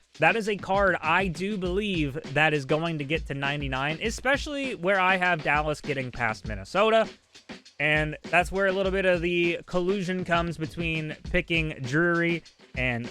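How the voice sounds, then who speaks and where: Over music in the background, a man talks at a high pitch. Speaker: gaming streamer and YouTuber. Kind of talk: casual livestream commentary on game cards. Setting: live on Twitch stream. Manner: some stuttering and repetition.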